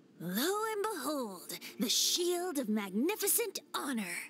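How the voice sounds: A woman's cartoonish character voice, high-pitched and fairly bright, with big pitch swings at a fairly slow pace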